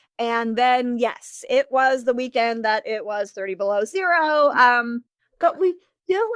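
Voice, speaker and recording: Loud and high-pitched, a woman speaks at a moderate pace with lively intonation in a dry, close sound with no echo. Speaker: founder of a clothing swap business. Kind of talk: interview. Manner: conversational, with many fillers.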